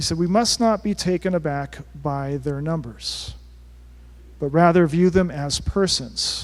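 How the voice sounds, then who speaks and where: A soft-spoken man talks at a moderate pace. His pitch is fairly high, with ordinary pitch variation. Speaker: Jesuit priest working with migrants at the border. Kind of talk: talk to a parish forum. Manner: halting, with many repeated words.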